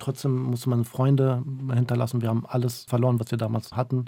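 Somewhat breathy, a man with a medium-pitched voice speaks in a dark, mellow tone with fairly even intonation. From northern Iraq, Mosul; moved to Germany at age 9. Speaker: interpreter and human rights activist. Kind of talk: radio interview.

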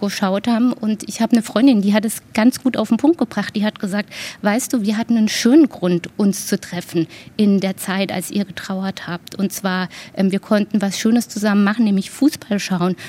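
Delivered at a moderate pace, a normal speaking voice shows ordinary pitch variation, with a dry, close sound and no echo. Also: woman. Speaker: grief counsellor. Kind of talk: interview.

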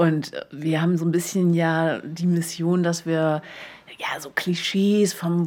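A woman speaks at a fairly low pitch. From Berlin. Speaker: podcast co-host. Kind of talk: casual chat.

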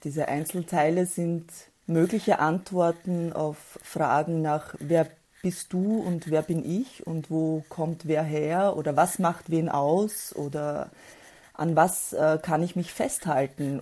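A dark, mellow tone at a very slow pace against a quiet background. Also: woman, fairly low pitch for a woman. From former Yugoslavia. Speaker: poet. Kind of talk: interview. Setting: video call.

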